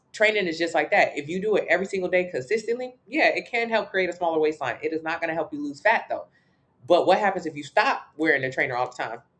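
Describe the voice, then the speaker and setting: Her tone animated and her intonation lively, a woman with fairly low pitch speaks at a very fast pace. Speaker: fitness coach. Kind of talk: live stream Q&A.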